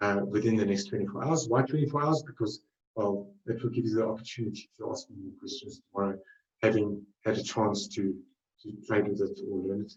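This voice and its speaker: Speaking with a South African accent at a fairly quick pace, a man uses a fairly low, somewhat breathy voice with ordinary pitch variation and big swings in loudness. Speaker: trading webinar presenter. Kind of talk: webinar presentation. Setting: live webinar. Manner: halting, many fillers.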